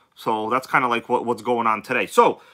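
Over a quiet background, a man speaks. His tone is bright and sharp. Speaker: RC hobby livestream host. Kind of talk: casual livestream chat reading comments. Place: home room. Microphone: phone near.

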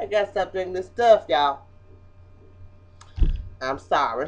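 The speech moves at a moderate pace, with music playing in the background. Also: woman. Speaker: vlogger. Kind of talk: casual vlog chat. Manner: tipsy, slurring, swaying drunk talk. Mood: giggly, losing composure. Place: home room. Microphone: webcam.

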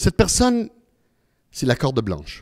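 The voice belongs to a man. Little else is heard, as the background is quiet. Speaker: humorist, magician and presenter giving a talk on grief; presenter. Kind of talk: live talk with magic demonstration. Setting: stage with live and online audience. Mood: warm, consoling. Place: hall. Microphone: handheld.

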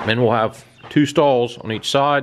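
Ordinary pitch variation from a male speaker. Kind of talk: casual vlog tour narration. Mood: relaxed, upbeat. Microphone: phone near.

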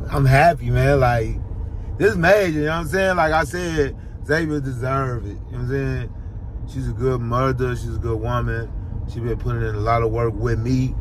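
The speaker is a man. The sound is dry with no echo, and background noise is noticeable. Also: moderate pace. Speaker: vlogger. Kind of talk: casual vlog chat. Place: car. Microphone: phone near.

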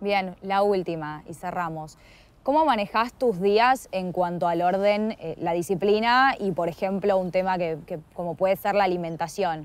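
An unremarkable speaking voice: a woman at medium pitch, fairly slow pace, ordinary pitch variation, dry sound with no echo. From Argentina. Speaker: interviewer. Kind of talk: interview. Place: garden.

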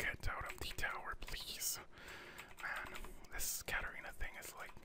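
Someone whispers at a moderate pace. The tone is relaxed. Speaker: gaming ASMR commentator. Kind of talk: gameplay commentary. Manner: whispered, relaxed.

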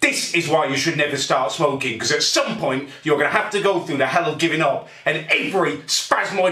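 Speaking at a fairly quick pace with hardly any pauses, a man shows ordinary pitch variation amid audible room echo. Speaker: vlogger. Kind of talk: angry comedic rant to camera. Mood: angry, exasperated. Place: kitchen. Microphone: phone near.

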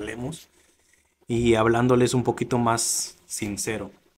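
A man talks at a very slow pace. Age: 20s. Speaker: YouTuber starting a podcast. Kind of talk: casual vlog monologue. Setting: home studio set with camera. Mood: sincere, reflective. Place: studio. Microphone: studio mic.

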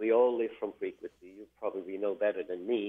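A man with a Swiss German accent, fairly low in pitch, flat and monotone at a moderate pace, against a quiet background. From German-speaking Switzerland. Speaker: fertilizer company guest; guest. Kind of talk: radio interview. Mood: calm, thoughtful. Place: studio.

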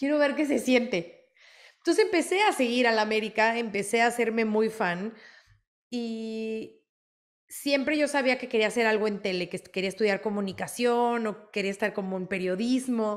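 Against a quiet background, a woman talks at a moderate pace in a fairly high voice with ordinary pitch variation. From Mexico. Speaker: sports reporter. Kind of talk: interview. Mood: warm, reflective, proud. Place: home room. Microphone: video call.

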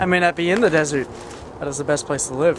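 Noticeable background noise sits behind a man's high-pitched voice, and the sound is dry with no echo. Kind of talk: casual vlog chat. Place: forest. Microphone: phone near.

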